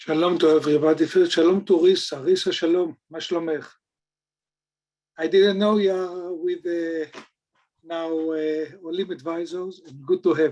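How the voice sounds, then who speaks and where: A man with a high voice and an Israeli accent speaks at a moderate pace in a dark, mellow tone, his intonation flat and monotone, his loudness swinging widely, and his pauses long and frequent. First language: Hebrew. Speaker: mortgage banker. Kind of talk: webinar presentation. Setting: video call.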